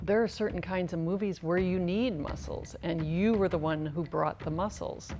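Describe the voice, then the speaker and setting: A woman's fairly low voice at a moderate pace with hardly any pauses, ordinary pitch variation, and music in the background. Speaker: interviewer. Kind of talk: interview question.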